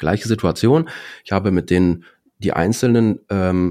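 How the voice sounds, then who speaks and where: In a very clean recording with a silent background, a man speaks in a fairly low pitch with a dark, mellow tone. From Dortmund, Germany. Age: 40s. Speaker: insurance and finance broker. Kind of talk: casual interview.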